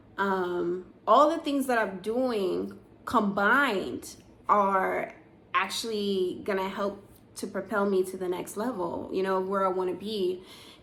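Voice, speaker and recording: A woman at medium pitch and a fairly slow pace, with ordinary pitch variation and audible room echo. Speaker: vlogger in a tech career. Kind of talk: casual vlog monologue. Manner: many filler words.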